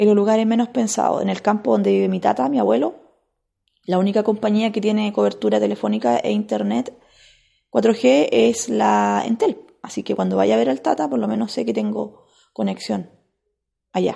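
The voice has a dark, mellow tone and very wide pitch swings, moving at a moderate pace. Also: woman, very deep, low pitch for a woman. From Chile, Biobío region. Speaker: podcaster. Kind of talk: casual monologue.

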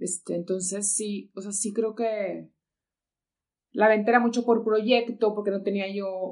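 A woman at a medium pitch, very slow and monotone with flat intonation, against a quiet background. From northeastern Mexico (Monclova, Coahuila). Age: 40s. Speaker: ceramic artist and architect. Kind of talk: casual interview chat.

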